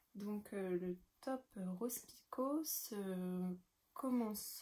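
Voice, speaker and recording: Speaking at a very slow pace, a woman has a dark, mellow tone, a somewhat breathy quality, medium pitch and ordinary pitch variation. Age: 20s. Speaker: knitting podcaster. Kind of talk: casual show-and-tell tutorial. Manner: hesitant, many fillers.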